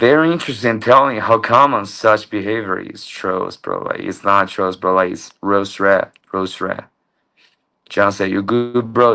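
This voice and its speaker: A man at medium pitch with a bright, sharp tone, a fairly slow pace and ordinary pitch variation, over a quiet background. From China. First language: Mandarin Chinese. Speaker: livestreamer. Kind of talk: livestream chat.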